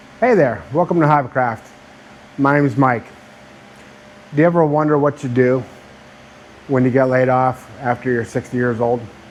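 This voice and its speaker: Over noticeable background noise, a man speaks at a moderate pace in a medium pitch. His intonation is fairly even, with long, frequent pauses. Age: 60s. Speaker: YouTuber, laid-off engineer. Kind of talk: personal vlog monologue. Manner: conversational, with filler words.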